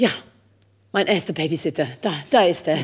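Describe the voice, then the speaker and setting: A woman is speaking. The background is quiet. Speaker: opera singer; interviewee. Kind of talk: interview. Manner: halting, many fillers. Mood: warm, amused storytelling. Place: stage. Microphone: studio mic.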